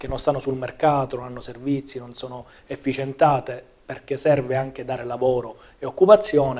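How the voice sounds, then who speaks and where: At a fairly quick pace, a man talks with a medium pitch and fairly even intonation. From Sicily, Palermo; Sicily. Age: 30s. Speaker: politician. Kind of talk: political interview. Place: studio.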